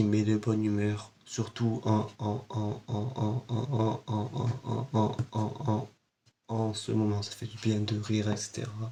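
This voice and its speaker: Speaking very slowly, a man uses a medium pitch. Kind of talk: casual talk to camera, film review.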